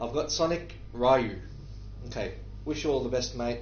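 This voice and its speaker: Audible room echo surrounds a man speaking with an Australian accent. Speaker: livestreamer answering viewer questions. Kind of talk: live Q&A stream. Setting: live stream from a war zone. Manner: halting, with many fillers.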